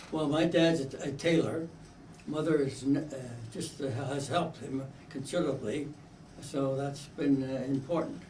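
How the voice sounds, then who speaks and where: With audible room echo, a man with an American accent speaks at a fairly high pitch, his intonation fairly even and his pauses long and frequent. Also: moderate pace. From eastern Pennsylvania, US. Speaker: interviewee, son of Italian immigrants. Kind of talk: oral history interview. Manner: halting, hesitant.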